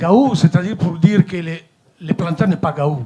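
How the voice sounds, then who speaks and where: A man's high-pitched voice with an Italian accent and ordinary pitch variation. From Italy. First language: Italian (speaking French). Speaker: company director. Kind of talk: formal speech at a meeting. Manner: hesitant, many fillers.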